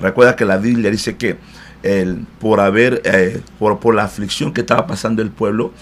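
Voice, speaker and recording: Over noticeable background noise, a man speaks at a moderate pace, his fairly low voice staying fairly even in intonation. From DR Congo, Central Africa. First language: not Spanish; learned it in Cuba (speaking Spanish). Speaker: pastor. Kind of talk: interview. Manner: hesitant, frequent eh fillers.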